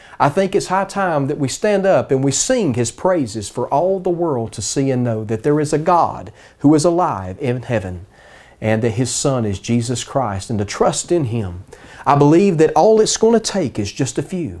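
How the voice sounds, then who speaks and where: This man has a warm tone and a fairly high pitch, with very wide pitch swings at a moderate pace. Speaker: preacher. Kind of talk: sermon in a Bible study. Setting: church Bible study streamed online. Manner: warm, earnest, pastoral; emphatic, repeating for effect. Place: home room. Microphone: lapel.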